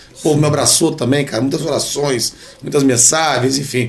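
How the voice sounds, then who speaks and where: Fairly high in pitch, a man speaks at a fairly quick pace with fairly even intonation amid noticeable background noise. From Brazil, São José dos Campos (São Paulo state). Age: 40s. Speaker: dentist and radio sports commentator. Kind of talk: casual podcast interview.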